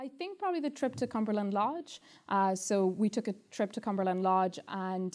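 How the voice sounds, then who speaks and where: A woman with an Irish accent speaks at a medium pitch and a fairly quick pace, her tone dark and mellow. The recording is very clean, with a silent background. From Ireland. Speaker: law student. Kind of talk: testimonial interview.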